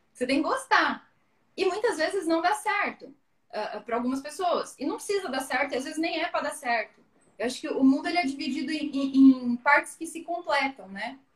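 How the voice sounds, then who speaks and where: A woman's high-pitched voice, with lively intonation at a fairly quick pace. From Paraná, southern Brazil (Maringá). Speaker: productivity guest. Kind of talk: casual live stream chat. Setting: video live stream.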